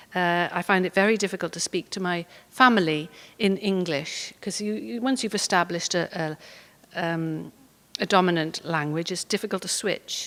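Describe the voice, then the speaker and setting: A woman in a Welsh accent, fairly low in pitch, on a very clean recording with a silent background. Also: ordinary pitch variation, moderate pace. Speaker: poet. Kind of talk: talk with poetry reading. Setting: stage with audience. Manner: hesitant with many fillers.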